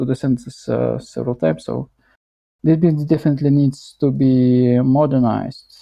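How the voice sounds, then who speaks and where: A man speaks with a strong non-native accent. His pitch sits in the medium range. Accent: thick foreign. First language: not English; strongly rolled R. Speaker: English learner. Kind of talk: self-study practice talking aloud. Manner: halting, self-correcting.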